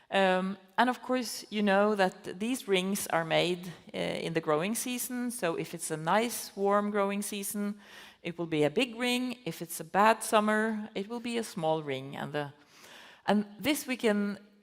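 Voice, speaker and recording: In a Norwegian accent, a woman speaks at medium pitch and a fairly slow pace with ordinary pitch variation. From Norway. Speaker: conservation biology professor. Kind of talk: festival talk interview. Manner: halting, many fillers.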